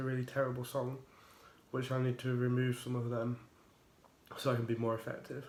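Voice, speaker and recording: Fairly quick and monotone, a man's flat intonation stays at a medium pitch. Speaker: tech YouTuber. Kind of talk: casual review vlog.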